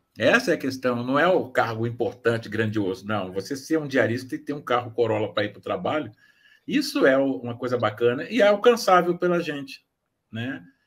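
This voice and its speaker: With big swings in loudness and lively intonation, a man at medium pitch speaks at a moderate pace. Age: 60s. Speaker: author. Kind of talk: casual chat. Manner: halting.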